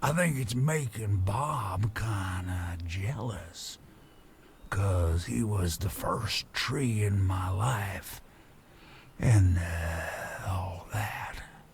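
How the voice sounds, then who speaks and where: A man does a put-on character voice, fairly low in pitch. He speaks at a very slow pace over clear background noise. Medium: video game. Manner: folksy, rambling.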